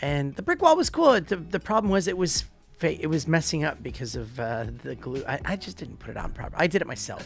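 A man with an American accent speaks at a fairly quick pace with big swings in loudness. Music plays in the background. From United States. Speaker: YouTube tech creator. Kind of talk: casual chat.

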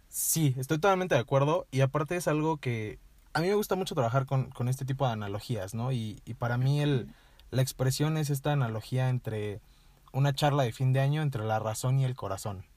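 This man's voice is somewhat breathy, at a medium pitch with ordinary pitch variation. He speaks at a fairly quick pace. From Mexico, Toluca. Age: 20s. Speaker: writer. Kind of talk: casual interview chat. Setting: in person.

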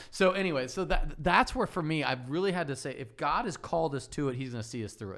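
Very fast and with hardly any pauses, a man speaks in a fairly high, animated voice with lively intonation. The recording is very clean with a silent background. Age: 40s. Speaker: pastor. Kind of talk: casual chat.

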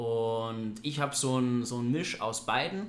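A plain, everyday voice from a man, medium in pitch, with ordinary pitch variation. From Bavaria, Germany (Ingolstadt). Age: 30s. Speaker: property investor. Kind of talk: casual interview. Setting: recorded after a seminar day.

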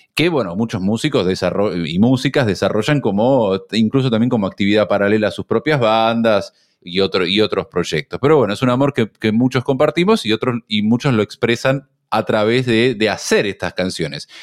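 The speaker, with an Argentine accent, talks at a moderate pace with ordinary pitch variation in a very clean recording with a silent background and a dry, close sound with no echo. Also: man, medium pitch for a man. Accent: Rioplatense Argentine Spanish. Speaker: radio host. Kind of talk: casual chat.

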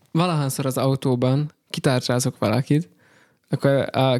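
A plain, everyday voice with fairly even intonation comes through as a dry, close sound with no echo on a very clean recording with a silent background. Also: man. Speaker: pastor. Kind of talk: casual chat.

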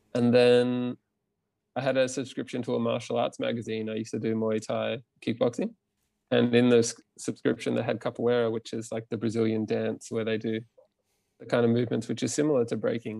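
In an Australian accent, a man talks at a fairly quick pace with long, frequent pauses, a medium pitch, a dark, mellow tone and a monotone, flat intonation, on a very clean recording with a silent background. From Queensland, Australia. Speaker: movement teacher and breakdancer. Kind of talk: casual interview.

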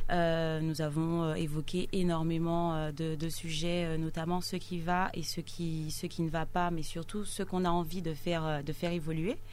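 The voice moves at a fairly slow pace with hardly any pauses and monotone, flat intonation, in audible room echo. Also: woman, fairly low pitch for a woman. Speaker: local political activist. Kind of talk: radio interview.

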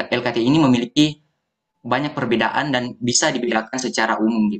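A man at a medium pitch and fairly quick pace, with ordinary pitch variation. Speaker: university student, foundation founder. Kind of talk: podcast interview.

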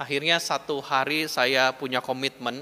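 Here a man speaks at a medium pitch with a bright, sharp tone. He goes at a fairly slow pace with fairly even intonation. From West Java (Bandung). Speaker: pastor. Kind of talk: sermon. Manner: conversational.

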